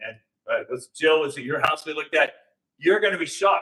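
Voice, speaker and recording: The voice is raised and projected, belonging to a man. Very wide swings mark his pitch. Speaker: election integrity speaker. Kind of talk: public talk with slides. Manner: animated; loud.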